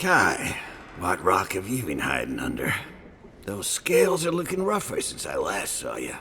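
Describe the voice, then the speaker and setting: Over clear background noise, a man uses a put-on character voice at a moderate pace. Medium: video game. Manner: gruff.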